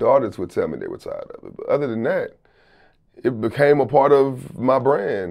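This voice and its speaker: A man with an American accent talks at a very fast pace, with long, frequent pauses and big swings in loudness. The background is quiet. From Houston, Texas. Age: 30s. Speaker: rapper and music producer. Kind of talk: casual interview. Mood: relaxed, reflective, candid. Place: studio. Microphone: lapel.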